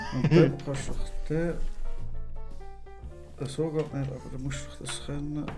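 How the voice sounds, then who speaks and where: Faint music sits behind a man speaking at a fairly slow pace. His fairly high voice has monotone, flat intonation. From Switzerland. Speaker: let's player. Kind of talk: casual gameplay commentary. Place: studio.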